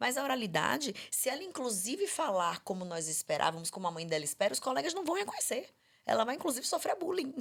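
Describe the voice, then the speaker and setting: A woman talks at a very fast pace. Her high-pitched voice swings very widely in pitch. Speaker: speech therapist. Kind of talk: podcast conversation.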